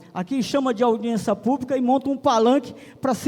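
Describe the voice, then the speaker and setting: Using an extremely high pitch with ordinary pitch variation, a man talks at a fairly quick pace. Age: 60s. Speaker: retired resident speaking at public hearing. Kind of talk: public hearing speech. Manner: emphatic.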